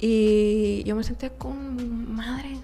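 A woman at a very slow pace in a Mexican accent, with audible room echo. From Mexico. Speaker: podcaster. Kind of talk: casual monologue.

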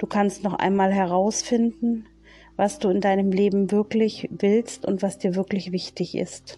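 A woman speaks at a fairly slow pace and medium pitch, her loudness very even and her intonation fairly even, with music playing in the background. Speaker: spiritual medium. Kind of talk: casual monologue; channeling meditation. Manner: monotone.

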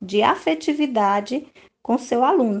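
Her pitch fairly high and swinging very widely, a woman speaks at a very slow pace. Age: 40s. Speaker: preschool teacher. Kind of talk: interview answers.

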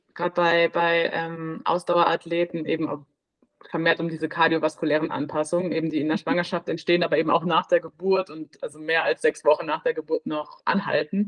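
At a fairly quick pace, a woman talks in a fairly low, monotone, flat voice. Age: 20s. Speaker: midwife. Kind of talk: interview. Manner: halting.

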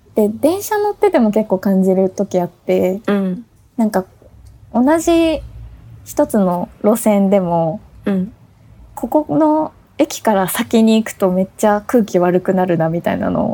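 At a fairly slow pace, a woman with a dark, mellow tone speaks at a medium pitch with lively intonation. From Tokyo, Japan. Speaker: podcast co-host. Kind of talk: casual chat; scripted announcement.

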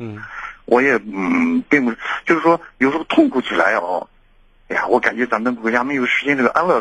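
Speaking at a fairly quick pace, a man has a medium pitch and ordinary pitch variation. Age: 60s. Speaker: caller, cancer patient. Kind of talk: phone-in advice call. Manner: halting, many fillers.

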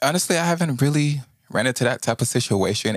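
A man with an American accent talks at a moderate pace with ordinary pitch variation in an unremarkable speaking voice. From Houston, Texas. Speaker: recording and performing artist. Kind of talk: casual interview. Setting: Instagram Live stream.

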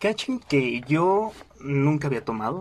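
A man speaks with a Mexican accent. His pace is moderate. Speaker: podcast host. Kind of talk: casual monologue. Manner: animated.

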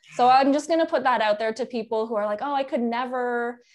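A normal speaking voice from a woman moves at a moderate pace with ordinary pitch variation over a quiet background. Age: 30s. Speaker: chef and cooking instructor. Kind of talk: casual interview chat.

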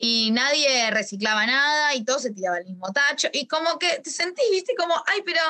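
A woman talks at a fairly quick pace. Her tone is bright and sharp, with very wide pitch swings. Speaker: astrologer and talk host. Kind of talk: casual chat. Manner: hesitant, many fillers.

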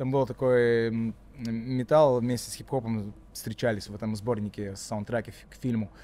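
Speaking fairly slowly with a Latvian accent, a man uses a medium pitch, fairly even intonation and a dark, mellow tone. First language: Latvian (speaking Russian). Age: 40s. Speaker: rapper. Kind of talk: casual chat. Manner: halting.

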